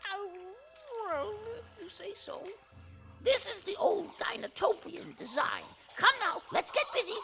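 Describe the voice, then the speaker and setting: An extremely high-pitched, put-on character voice speaks with long, frequent pauses. Background noise is clearly heard. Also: moderate pace. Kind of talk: formal, precise diction. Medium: audio drama. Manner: fussy, repeats phrases.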